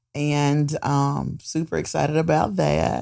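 A woman speaks with a North Carolina accent. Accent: US South (North Carolina). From Goldsboro, North Carolina. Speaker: nonprofit agency executive. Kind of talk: interview. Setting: studio.

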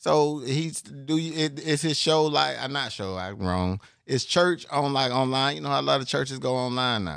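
An unremarkable speaking voice moves at a moderate pace with hardly any pauses. The intonation is lively. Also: man, medium pitch for a man. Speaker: podcast co-host. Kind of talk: casual chat.

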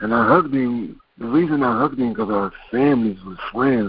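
This man talks at a moderate pace. His pitch is medium, with ordinary variation. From Chester, Pennsylvania, US. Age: 40s. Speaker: comedian, gun violence survivor. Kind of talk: testimony. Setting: phone call.

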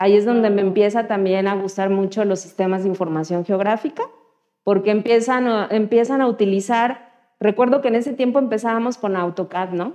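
A normal speaking voice from a woman at medium pitch, fairly quick in pace, ordinary in pitch variation. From Mexico, Guerrero (Chilpancingo). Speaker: computer engineer, data science community organizer. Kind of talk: interview. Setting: studio.

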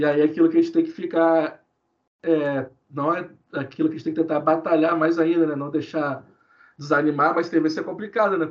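A man talks at a fairly quick pace in a fairly high pitch, his intonation flat and monotone. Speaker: history researcher. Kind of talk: podcast interview.

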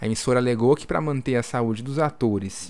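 With a normal speaking voice, a man holds fairly even intonation at a medium pitch. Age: 20s. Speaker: podcast host, journalist. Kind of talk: casual informative podcast chat; news reading.

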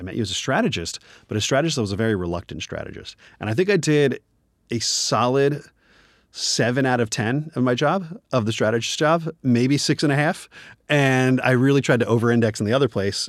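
With an American accent, a man talks at a fairly quick pace and medium pitch with lively intonation, in a very clean recording with a silent background. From US Northeast (New Jersey). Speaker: advertising creative director. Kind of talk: casual interview.

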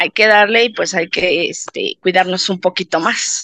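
The sound is dry and close, with no echo. A woman at medium pitch speaks at a fairly slow pace with fairly even intonation. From Mexico City. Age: 50s. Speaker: patient. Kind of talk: testimony. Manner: halting, many fillers.

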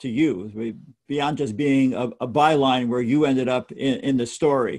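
A man with an American accent and an ordinary speaking voice speaks at a medium pitch with fairly even intonation. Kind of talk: interview. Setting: video call.

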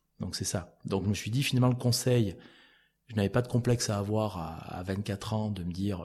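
A man speaks at a fairly quick pace in a fairly low pitch. His voice is somewhat breathy, with ordinary pitch variation. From France, Cantal (Auvergne). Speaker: entrepreneur. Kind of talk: interview. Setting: at his café venue.

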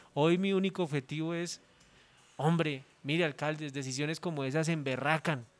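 A man's fairly high-pitched voice, a normal speaking voice, with fairly even intonation at a moderate pace. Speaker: politician. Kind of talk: interview.

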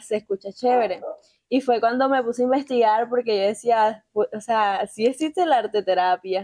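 This woman has a plain, everyday voice, fairly high in pitch, with fairly even intonation at a moderate pace. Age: 20s. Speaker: art therapy workshop leader. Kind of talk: casual interview.

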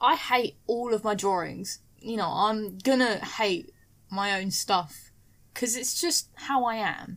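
In a British accent, a woman with a fairly high pitch speaks at a very slow pace. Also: ordinary pitch variation. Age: 20s. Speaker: podcast guest. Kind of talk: casual chat.

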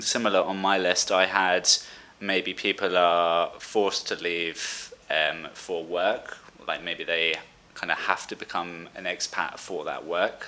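Over noticeable background noise, a man talks at a fairly slow pace in a southern English accent. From Brighton, England. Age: 20s. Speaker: podcast host, expat. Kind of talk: casual chat. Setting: remote call.

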